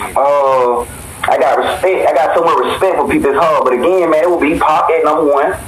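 Noticeable background noise sits behind a man who talks at a moderate pace. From Atlanta, west side (Bankhead). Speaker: rapper. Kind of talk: casual interview. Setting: podcast studio.

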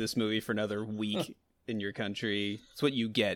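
Heard in a very clean recording with a silent background, a man is speaking. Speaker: podcast co-host. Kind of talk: casual banter.

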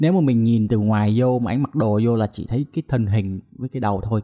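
On a very clean recording with a silent background and a dry, close sound with no echo, a man speaks at a fairly quick pace in a dark, mellow tone. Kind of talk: casual chat.

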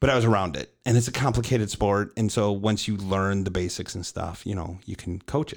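A man with an unremarkable speaking voice talks at a fairly quick pace in an American accent, with hardly any pauses. His pitch is fairly low with ordinary variation, and the recording is very clean with a silent background. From Chicago, US Midwest. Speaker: podcast host and coach. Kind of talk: casual chat.

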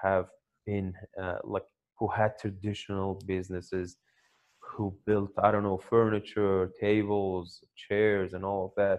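A man with a Persian accent talks at a fairly slow pace, with a fairly low pitch and monotone, flat intonation. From Iran. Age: 30s. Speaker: Bitcoin miner. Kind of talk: interview.

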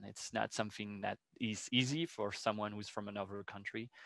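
In a bright, sharp tone with a French accent, the speaker moves at a fairly quick pace with fairly even intonation, in a dry, close sound with no echo and a quiet background. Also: man. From France. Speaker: educational program director. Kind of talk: interview. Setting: video call.

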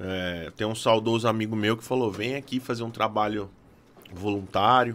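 Speech unfolds at a fairly slow pace. The intonation is fairly even throughout. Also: man. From Fernandópolis, interior of São Paulo. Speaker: drummer. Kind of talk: casual chat. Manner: halting.

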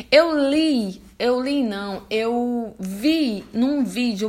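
A woman speaks in a high voice. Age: 30s. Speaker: motivational video creator. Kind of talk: motivational monologue. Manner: informal, direct address to viewers.

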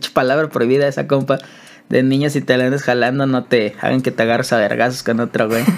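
A man in a Mexican accent talks at a very fast pace with a monotone, flat intonation and very even loudness. Noticeable background noise runs beneath him. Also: medium pitch for a man. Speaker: podcast co-host. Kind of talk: casual chat.

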